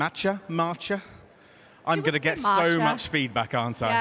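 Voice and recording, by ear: With a British accent, a man talks with very wide pitch swings.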